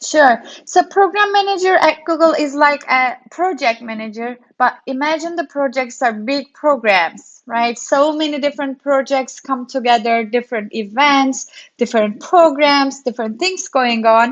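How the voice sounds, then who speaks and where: Against a quiet background, a woman with a Turkish accent speaks at a high pitch and a moderate pace with lively intonation. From Turkey. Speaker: developer relations program manager. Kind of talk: interview.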